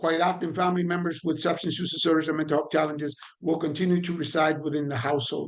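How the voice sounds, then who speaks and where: Intonation stays monotone and flat. The pace is very fast. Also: man, fairly high pitch for a man. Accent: Puerto Rican. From Puerto Rico. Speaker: trainer on addiction and recovery. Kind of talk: online training lecture. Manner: conversational with fillers and repetitions.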